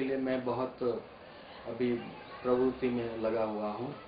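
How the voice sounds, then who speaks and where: A man's medium-pitched voice in monotone, flat intonation, with audible room echo and noticeable background noise. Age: 60s. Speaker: space agency employee and Gandhian activist. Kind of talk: documentary interview.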